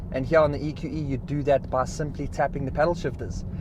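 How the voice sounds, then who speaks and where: In a plain, everyday voice, a man speaks at a fairly quick pace with fairly even intonation. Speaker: car reviewer. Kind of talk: video review, talking while driving. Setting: inside a car.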